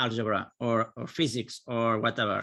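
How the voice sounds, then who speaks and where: A man with a Catalan accent speaks at a moderate pace in a bright, sharp tone, recorded very cleanly against a silent background. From Catalonia, Spain. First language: Catalan or Spanish. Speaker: engineering professor. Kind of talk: conference presentation. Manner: halting.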